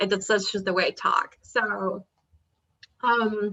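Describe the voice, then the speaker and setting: Very slowly and in a flat monotone, a woman talks at medium pitch. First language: Spanish. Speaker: PhD student and poet giving a talk. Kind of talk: academic talk. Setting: video call. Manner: casual, with many fillers.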